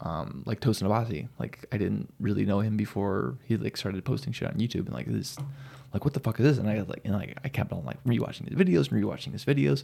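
This very fast voice has a dark, mellow tone with vocal fry and very wide pitch swings. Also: man, fairly low pitch for a man. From New Mexico, Silver City. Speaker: metal drummer. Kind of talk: casual chat.

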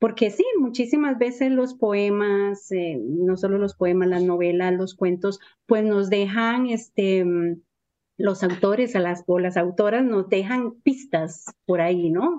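A woman speaks very slowly at a medium pitch, her tone dark and mellow, with a Costa Rican accent. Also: ordinary pitch variation. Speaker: poet and writer. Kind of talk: poet reading. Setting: radio studio interview. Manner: slow, measured, contemplative reading.

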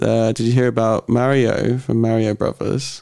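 At a fairly slow pace, a man speaks in a dark, mellow tone at a medium pitch with monotone, flat intonation. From southern England. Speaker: performance artist. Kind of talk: casual chat. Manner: halting.

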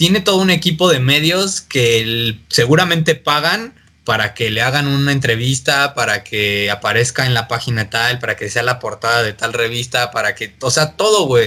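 Speaking at a moderate pace with hardly any pauses, a man has a bright, sharp tone and medium pitch. His intonation is lively. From Mexico. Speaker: electronic music producer. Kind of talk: casual chat.

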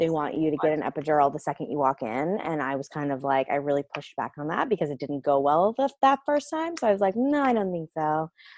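A woman speaks with a very deep, low pitch. The sound is dry and close, without echo. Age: 40s. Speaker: mother sharing birth story. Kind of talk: casual chat.

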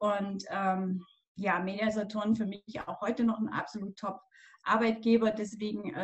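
Using a normal speaking voice, a woman talks at a fairly slow pace with medium pitch and fairly even intonation. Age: 50s. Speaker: pilates and yoga instructor. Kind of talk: casual interview.

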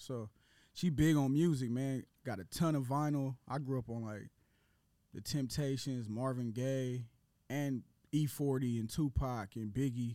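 A man with an unremarkable speaking voice talks at a fairly slow pace in a medium pitch and fairly even intonation. The recording is very clean, with a silent background. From Portland, Oregon. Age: 30s. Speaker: rapper. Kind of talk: casual chat.

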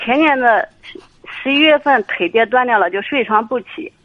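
A woman speaks at a moderate pace with a high pitch. Her pitch variation is ordinary. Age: 50s. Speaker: caller seeking marriage advice. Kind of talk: phone-in advice call.

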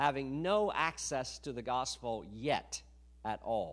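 The speaker is a man with an American accent. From United States. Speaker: missionary. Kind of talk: sermon. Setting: church. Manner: emphatic.

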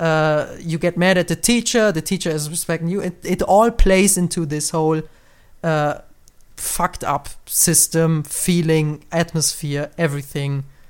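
With a German accent, the speaker goes at a fairly slow pace on a very clean recording with a silent background. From Germany. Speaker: podcast host. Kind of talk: casual podcast conversation.

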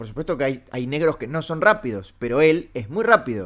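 A man with a Uruguayan accent at a fairly high pitch, moderate pace and very wide pitch swings, on a very clean recording with a silent background. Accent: Rioplatense Spanish (Uruguayan). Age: 30s. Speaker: comedian podcast host. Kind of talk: casual comedic chat.

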